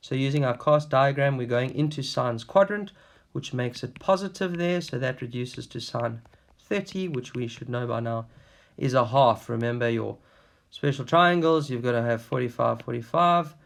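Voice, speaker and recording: This man has a plain, everyday voice at a medium pitch, with ordinary pitch variation. He speaks at a moderate pace in a very clean recording with a silent background. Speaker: maths teacher. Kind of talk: tutorial. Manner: casual, conversational.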